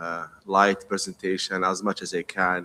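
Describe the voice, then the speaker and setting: A man's fairly low voice with an Arabic accent, bright and sharp in tone, in a monotone, flat intonation. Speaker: pharmacy professor and dean. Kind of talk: presentation. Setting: conference stage.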